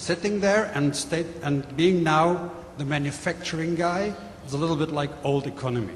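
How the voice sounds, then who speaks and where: The speaker talks at a moderate pace. Noticeable background noise can be heard. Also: man. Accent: German. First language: German. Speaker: manufacturing executive. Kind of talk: panel presentation. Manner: hesitant, with fillers.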